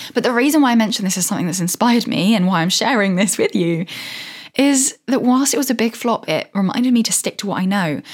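At a very fast pace, a woman talks in a fairly high pitch. Her voice is somewhat breathy. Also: lively intonation. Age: 20s. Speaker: solo podcaster. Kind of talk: casual solo monologue. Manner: enthusiastic.

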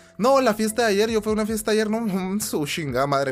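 A man speaks with a Mexican accent at a fairly quick pace. His pitch swings very widely. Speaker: gaming podcaster. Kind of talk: casual monologue. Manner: animated.

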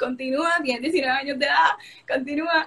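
At a fairly slow pace, a high-pitched woman talks in an animated tone. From Puerto Rico, Coamo. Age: young. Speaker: beauty pageant contestant. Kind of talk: casual interview. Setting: live stream.

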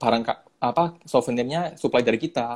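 This is an unremarkable speaking voice, a man's at medium pitch. He talks at a fairly quick pace with ordinary pitch variation. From Surabaya, Indonesia. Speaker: community manager and content creator. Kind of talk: casual interview, live stream. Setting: live stream, online.

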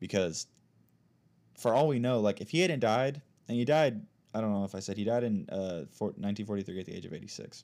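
A man with an American accent and a fairly low pitch talks at a very fast pace, broken by long, frequent pauses. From United States. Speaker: podcast host. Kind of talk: casual chat; reading aloud. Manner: halting.

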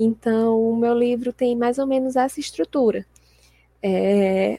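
With a dry, close sound and no echo, a woman speaks at a high pitch with ordinary pitch variation. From Brazil, Fortaleza, Ceará. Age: 20s. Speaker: sports journalist and author. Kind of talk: casual interview chat.

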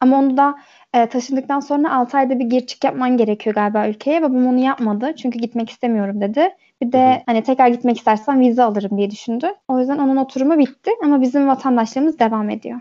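The voice has a dark, mellow tone and ordinary pitch variation. It moves at a very fast pace. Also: woman, high pitch for a woman. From Turkey (born in Germany, moved at age 8). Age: 20s. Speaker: podcast guest. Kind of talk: casual chat.

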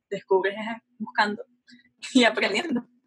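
This woman has a normal speaking voice, fairly high in pitch, with ordinary pitch variation and a fairly quick pace. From Venezuela, Caracas. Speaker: aerospace engineering student. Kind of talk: casual interview.

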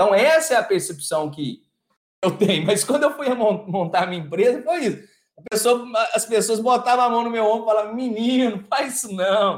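Speaking at a high pitch and moderate pace, a man sounds animated, with lively intonation. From Brazil, Minas Gerais (Araxá). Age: 40s. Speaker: environmental consultant. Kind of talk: casual interview chat. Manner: animated, with frequent repetitions and fillers.

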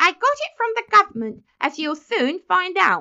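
A woman puts on a shrill character voice with a bright, sharp tone and vocal fry. Her pitch swings widely at a moderate pace.

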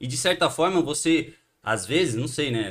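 A man speaking at a fairly quick pace, on a very clean recording with a silent background. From Brazil, Santos (São Paulo coast). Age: 30s. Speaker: punk band musician. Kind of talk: casual chat.

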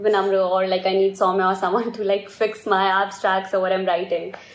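The speaker talks at a moderate pace in a monotone, flat intonation. Noticeable background noise runs underneath. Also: woman. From India. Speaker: design student. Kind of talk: casual chat.

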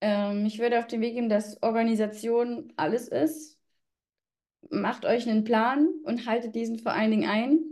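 A dark, mellow tone marks this woman's voice. She talks at a fairly high pitch. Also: ordinary pitch variation, moderate pace. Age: 20s. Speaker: tax exam candidate. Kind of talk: interview.

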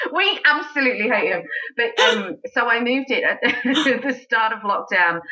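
A woman speaks at a fairly slow pace with an American accent. There is noticeable background noise. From rural South Australia, between Adelaide and Melbourne. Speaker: cabaret and burlesque performer, singer. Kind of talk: casual interview chat.

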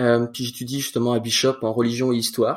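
With a medium-pitched voice, a man delivers his words at a fairly quick clip. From France, in Quebec since about age 9. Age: 20s. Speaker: church youth leader and student. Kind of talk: casual interview.

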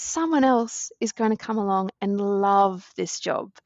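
A woman speaks with an Australian accent. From Queensland, Australia. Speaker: science communications advisor. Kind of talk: casual interview.

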